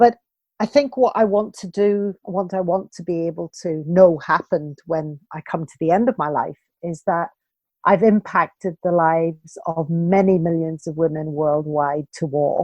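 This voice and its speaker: With a British accent, this woman talks at a moderate pace. Her pitch variation is ordinary, with big swings in loudness. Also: fairly low pitch for a woman. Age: 60s. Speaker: walking coach and author. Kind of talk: podcast interview.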